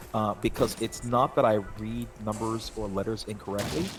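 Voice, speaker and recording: A man speaks with fairly even intonation at a fairly low pitch. Noticeable background noise is present. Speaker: gaming streamer. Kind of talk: casual chat. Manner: halting.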